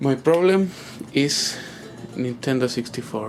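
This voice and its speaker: Over noticeable background noise, a man speaks very slowly. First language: not English. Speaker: gamer asking for tech help. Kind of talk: tutorial-style demonstration video. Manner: halting, many fillers.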